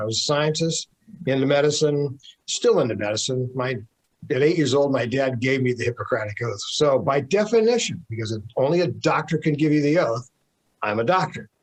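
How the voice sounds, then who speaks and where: A man speaks at a fairly quick pace and a fairly high pitch, with lively intonation. His voice is somewhat breathy. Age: 70s. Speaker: health author and researcher. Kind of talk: interview conversation.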